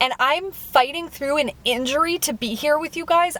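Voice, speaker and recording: A loud woman with lively intonation at a moderate pace. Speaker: food reviewer vlogger. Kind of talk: casual vlog monologue. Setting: in a car. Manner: sounds sarcastic or disinterested.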